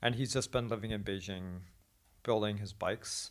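A man has an ordinary speaking voice with a fairly low pitch. His intonation is fairly even, on a very clean recording with a silent background. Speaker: podcast host and teacher. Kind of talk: casual chat. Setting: Beijing, China.

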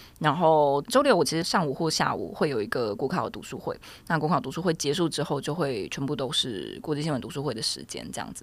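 On a very clean recording with a silent background, a woman with a very deep, low voice and vocal fry talks at a fairly quick pace with hardly any pauses, lively intonation and big swings in loudness. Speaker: law graduate studying for bar exam. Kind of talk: casual chat.

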